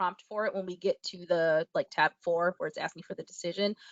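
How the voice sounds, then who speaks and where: At a fairly quick pace, a woman is speaking. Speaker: webinar presenter. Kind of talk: tutorial. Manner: fast; trails off at sentence ends.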